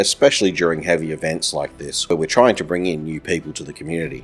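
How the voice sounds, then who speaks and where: A man with an Australian accent and a very deep, low pitch talks at a fairly quick pace over music in the background. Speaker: gaming commentator. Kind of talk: video game commentary narration.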